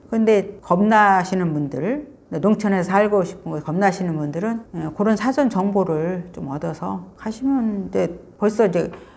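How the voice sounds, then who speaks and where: A woman with an ordinary speaking voice and medium pitch talks at a fairly slow pace with hardly any pauses and ordinary pitch variation. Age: 60s. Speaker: author and rural pension owner. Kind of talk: interview. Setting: visiting Seoul. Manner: casual, conversational with fillers.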